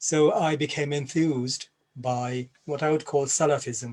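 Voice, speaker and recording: This man's fairly high voice is somewhat breathy and monotone, with flat intonation, on a very clean recording with a silent background. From Bangladesh, then England. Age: 60s. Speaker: Islamic scholar and former jihadist. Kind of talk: personal testimony at a panel event. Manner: hesitant, many fillers and repeats.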